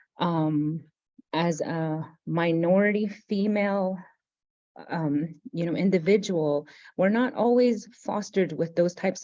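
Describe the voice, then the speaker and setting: In a Navajo Nation accent, a woman speaks at a fairly slow pace with a fairly low pitch and ordinary pitch variation. Her tone is dark and mellow against a quiet background. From Navajo Nation, US Southwest. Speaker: university operations director. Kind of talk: interview reflection.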